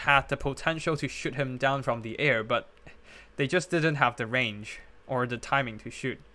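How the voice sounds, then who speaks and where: A man's bright, sharp tone and lively intonation in a very clean recording with a silent background. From Hong Kong. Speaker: game streamer and tournament caster. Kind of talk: live game commentary with chat reading. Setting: live stream. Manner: hesitant, many fillers.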